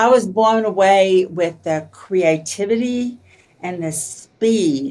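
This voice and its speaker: With an Arkansas accent, a woman talks at a very slow pace using lively intonation. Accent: Arkansas Southern. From Arkansas, US South. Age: 70s. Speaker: author and entrepreneur. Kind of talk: interview conversation.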